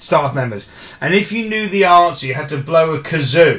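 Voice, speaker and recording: A man with a southern English accent speaks with lively intonation. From southeast England (Orpington, Kent). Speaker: podcast co-host, wrestling fan. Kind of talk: casual chat.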